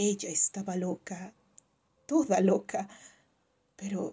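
At a very slow pace, a woman speaks at a medium pitch with a dark, mellow tone, a somewhat breathy quality and fairly even intonation. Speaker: poetry reader. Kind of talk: poem reading, read aloud with wistful, intimate delivery. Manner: slow, reflective, wistful.

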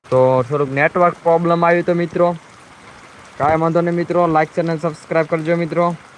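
A man speaks at a high pitch, his loudness very even throughout. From Gujarat, Saurashtra region (Ahmedabad district, Dholera area). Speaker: vlogger. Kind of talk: live stream commentary. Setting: outdoors in rain with umbrella. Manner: animated.

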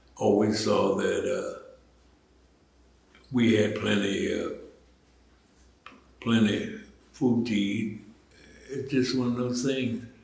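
A man's very slow speech with long, frequent pauses and audible room echo. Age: 80s+. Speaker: food pantry coordinator. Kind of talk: interview answer. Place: office. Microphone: lapel.

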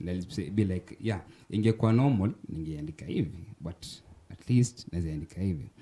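A man speaks with a very deep, low pitch and a dark, mellow tone that is somewhat breathy. His intonation is lively and his pace moderate. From Kenya. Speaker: spoken word artist and student; guest. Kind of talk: casual chat. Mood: encouraging. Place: studio. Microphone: handheld.

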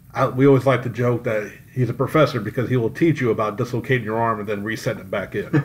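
A somewhat breathy man at a very fast pace, his intonation fairly even. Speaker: podcast co-host. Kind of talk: casual chat.

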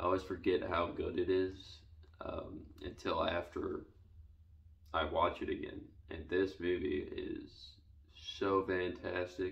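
A man speaks at a low pitch and a slow pace, with vocal fry and a fairly bright tone. His voice shows little pitch movement, and audible room echo fills the recording.

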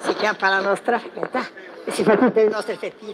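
There is faint background noise behind this woman. Her pitch is medium, her pace moderate and her intonation fairly even.

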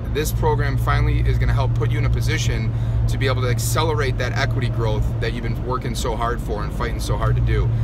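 Against background music, a man speaks at a very fast pace. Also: dry sound with no echo. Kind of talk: casual vlog chat. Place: car. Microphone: phone near.

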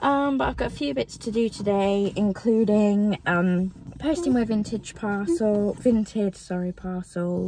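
Recorded dry with no echo and light background noise, this woman's voice has ordinary pitch variation. She speaks at a fairly slow pace. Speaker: vlogger. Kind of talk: casual vlog chat. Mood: cheerful, chatty. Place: car. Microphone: phone near.

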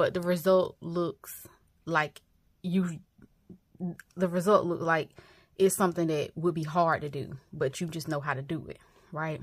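A woman speaks at a fairly slow pace in a fairly low, somewhat breathy voice. Her intonation stays fairly even, broken by long, frequent pauses. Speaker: nail art hobbyist YouTuber. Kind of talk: tutorial. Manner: casual, filler-heavy. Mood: casual, friendly. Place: home room.

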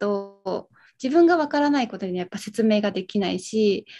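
Her voice fairly high yet dark and mellow, a woman speaks at a fairly quick pace, somewhat breathy, with lively intonation. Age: 20s. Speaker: medical social worker and childhood leukemia survivor; guest. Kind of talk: casual chat. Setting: live stream. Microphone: video call.

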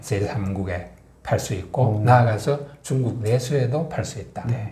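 A medium-pitched man's voice at a fairly slow pace, with ordinary pitch variation and audible room echo. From South Korea. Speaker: author and publisher; interviewee. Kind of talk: interview. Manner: hesitant with many fillers. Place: studio.

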